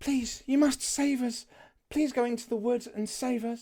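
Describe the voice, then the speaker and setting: High-pitched, put-on character voice from a woman. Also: moderate pace. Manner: pleading, urgent.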